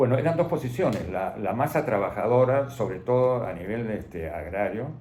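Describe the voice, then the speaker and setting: Somewhat breathy and dark, mellow in tone, a man speaks at a moderate pace and medium pitch with lively intonation amid audible room echo. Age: 80s+. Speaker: retired doctor. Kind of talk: interview. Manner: halting.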